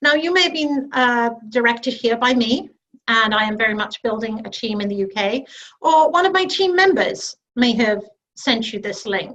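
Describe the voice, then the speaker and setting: A woman with a British accent at a moderate pace. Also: fairly high pitch for a woman, lively intonation. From UK. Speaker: network marketing director. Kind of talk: sales pitch.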